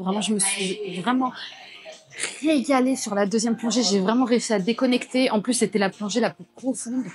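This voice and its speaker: A woman speaks with ordinary pitch variation. Noticeable background noise sits behind her. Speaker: vlogger. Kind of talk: vlog talk to camera. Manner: speaking softly.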